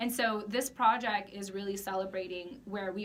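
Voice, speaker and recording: A woman's medium-pitched voice at a fairly slow pace, with fairly even intonation and audible room echo. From US. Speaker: project founder. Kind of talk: interview.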